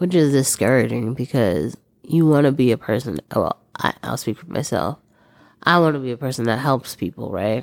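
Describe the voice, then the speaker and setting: Recorded dry and close with no echo, a woman speaks at a moderate pace with a very deep, low pitch, vocal fry and lively intonation. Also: big swings in loudness. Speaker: podcast co-host. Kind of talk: casual chat.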